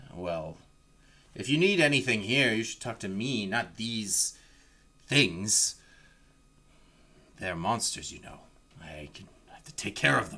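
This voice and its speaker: In a gruff, put-on character voice, a man speaks at medium pitch with long, frequent pauses. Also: moderate pace. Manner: stern, defensive.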